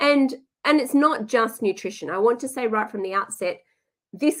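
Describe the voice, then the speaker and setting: The speaker has an Australian accent. The pitch varies in an ordinary way. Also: woman. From Western Australia, Perth. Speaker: nutritionist. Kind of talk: webinar presentation. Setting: online webinar. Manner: hesitant, many fillers.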